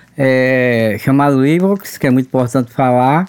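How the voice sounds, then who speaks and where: The pace is fairly slow as this man talks. Pitch variation stays ordinary. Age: 50s. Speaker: oral cancer survivor. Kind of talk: testimony. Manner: halting.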